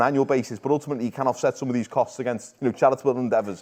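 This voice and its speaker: A man with a Liverpool accent talks very fast over noticeable background noise. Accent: Liverpool (Scouse). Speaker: football show presenter. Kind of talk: casual chat.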